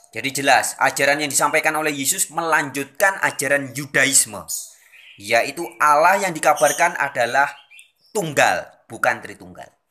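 Bright, sharp tone from a man at a moderate pace, with ordinary pitch variation. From Indonesia. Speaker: religious video channel host. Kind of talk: lecture. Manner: formal, expository. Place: home room. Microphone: phone near.

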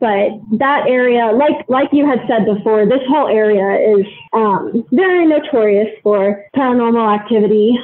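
A woman's fairly high voice at a moderate pace, with very even loudness, ordinary pitch variation and noticeable background noise. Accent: American. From US Midwest (Ohio). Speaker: podcast guest sharing ghost story. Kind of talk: casual interview, personal story. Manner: hesitant, many fillers.

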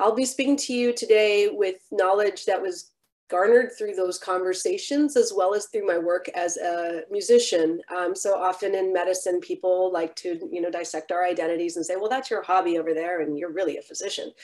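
Against a quiet background, a woman with a plain, everyday voice speaks at a medium pitch with ordinary pitch variation. Her pace is fairly quick, with hardly any pauses. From San Francisco Bay Area, US. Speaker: physician and keynote lecturer; keynote lecturer. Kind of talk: lecture. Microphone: webcam.

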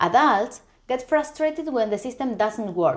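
At a moderate pace, a woman with a Spanish accent speaks with very wide pitch swings over a quiet background. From Argentina, Buenos Aires. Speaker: software tester and conference speaker; conference speaker. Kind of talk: conference talk.

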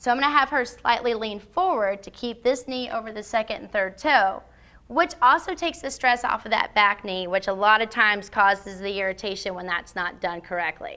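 Hardly pausing at all, a woman talks in a bright, sharp tone with big swings in loudness. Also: fairly quick pace. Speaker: fitness trainer. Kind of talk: tutorial. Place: gym.

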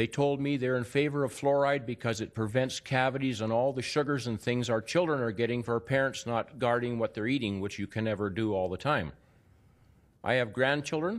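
With a Canadian accent, a man talks at medium pitch and a fairly quick pace, with ordinary pitch variation. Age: 60s. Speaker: public speaker at council hearing; public council speaker. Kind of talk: public testimony. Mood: earnest, emphatic. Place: hall. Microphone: podium.

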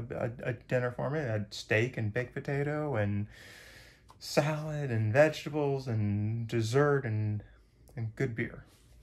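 Here a man speaks at a fairly slow pace. His pitch variation is ordinary. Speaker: hiker vlogger. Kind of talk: casual vlog chat. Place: home room. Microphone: phone near.

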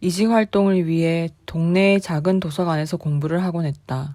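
A woman speaks in a calm tone at a moderate pace, her intonation fairly even. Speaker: amateur horror story reader. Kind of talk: horror story reading. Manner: calm, understated.

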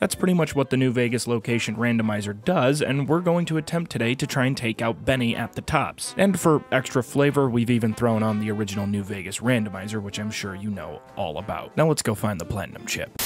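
Over music in the background, a man rushes along at a very fast pace with hardly any pauses and lively intonation. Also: medium pitch for a man. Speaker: gaming video narrator.

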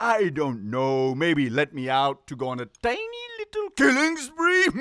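At a moderate pace, a man performs a cartoonish character voice pitched fairly high. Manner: theatrical, camp.

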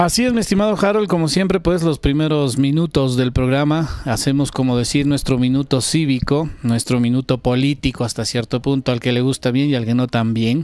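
A moderate pace with hardly any pauses, very even loudness, ordinary pitch variation and a dry sound with no echo. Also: man. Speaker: show host. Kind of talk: talk show commentary. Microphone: handheld.

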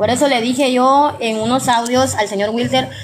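A woman speaks at a moderate pace with a fairly high pitch. Her intonation stays fairly even over faint background noise.

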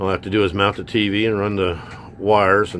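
With light background noise behind him, a man speaks at a moderate pace and a fairly low pitch. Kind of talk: casual tour narration. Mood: relaxed, pleased. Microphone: phone near.

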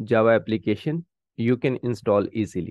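A man speaks at a moderate pace, his voice dry with no echo against a quiet background. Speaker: presenter. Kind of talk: tutorial. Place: home room.

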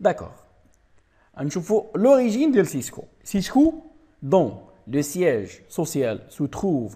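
The recording is very clean, with a silent background. A dark, mellow voice swings very widely in pitch at a moderate pace. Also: man. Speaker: IT trainer. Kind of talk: tutorial. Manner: halting.

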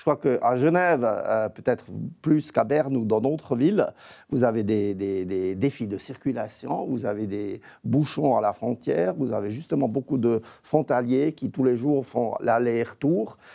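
A man with a dark, mellow tone talks at a fairly slow pace. His pitch variation is ordinary, and the background is quiet. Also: medium pitch for a man. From eastern Switzerland near Austria. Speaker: federal price regulator. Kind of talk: TV panel debate. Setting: remote video link from Bern. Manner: halting, many repetitions. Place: studio. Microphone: lapel.

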